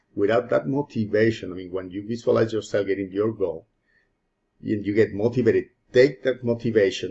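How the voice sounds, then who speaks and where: Speaking at a fairly quick pace, a man with a medium pitch sounds somewhat breathy. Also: fairly even intonation. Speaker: self-improvement YouTuber. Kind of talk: motivational talk to camera. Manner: halting, self-correcting.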